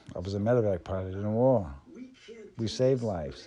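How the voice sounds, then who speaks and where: There is audible room echo as a man speaks at a moderate pace in a fairly low pitch with ordinary pitch variation. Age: 70s. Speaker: spiritual channeler. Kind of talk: spiritual monologue.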